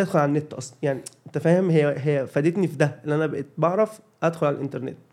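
A man talking at a very fast pace. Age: 30s. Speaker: comedian and video creator. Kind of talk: casual chat.

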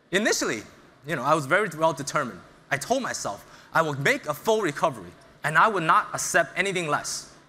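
A very fast, lively American accent from a man with a fairly high pitch, a bright, sharp tone and vocal fry. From US Northeast (Brooklyn, New York). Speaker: startup founder and CEO. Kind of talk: motivational talk. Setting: stage with audience.

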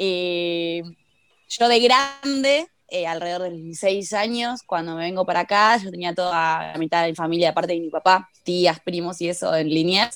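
A woman's fairly low voice, a normal speaking voice, with ordinary pitch variation and a fairly slow pace. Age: 20s. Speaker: footballer. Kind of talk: interview.

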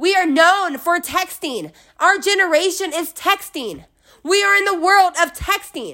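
In a very clean recording with a silent background, a woman speaks in a raised, projected voice at a fairly slow pace. Her tone is animated, bright and sharp, her pitch extremely high, with ordinary pitch variation. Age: 20s. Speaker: podcast host. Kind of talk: motivational solo monologue.

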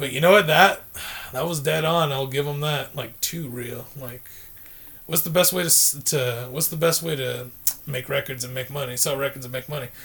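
This man speaks at a moderate pace in a plain, everyday voice, fairly high-pitched, with fairly even intonation. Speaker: guest. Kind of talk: casual chat.

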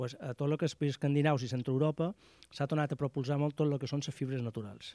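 A man with a Mallorcan accent, a fairly high pitch and a dark, mellow tone, speaking at a very fast pace with fairly even intonation, in a very clean recording with a silent background and a dry, close sound with no echo. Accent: Mallorcan Catalan. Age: 50s. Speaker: outdoor gear shop owner. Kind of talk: radio interview.

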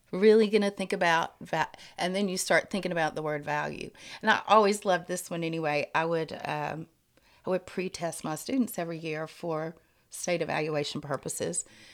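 Fairly low-pitched, a woman with an unremarkable speaking voice talks at a fairly quick pace. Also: ordinary pitch variation. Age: 50s. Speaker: retired art teacher. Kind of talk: casual chat.

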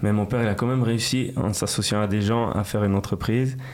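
Noticeable background noise surrounds the recording. A man speaks with fairly even intonation. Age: 20s. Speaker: rapper. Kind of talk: interview. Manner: casual, hesitant with repetitions.

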